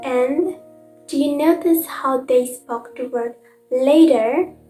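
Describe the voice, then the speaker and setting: Over music in the background, a woman speaks at a very slow pace with a high pitch. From Indonesia. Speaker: university student. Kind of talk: educational explanation.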